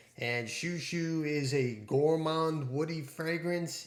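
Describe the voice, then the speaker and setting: Amid audible room echo, a man speaks at a very slow pace with ordinary pitch variation. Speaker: fragrance reviewer. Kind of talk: product review.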